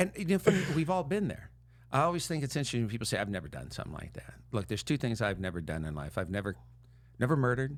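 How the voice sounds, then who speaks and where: Words come out at a very fast pace with very wide pitch swings. Vocal fry runs through the voice. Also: man, medium pitch for a man. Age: 60s. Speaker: mental health coach. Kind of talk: casual chat.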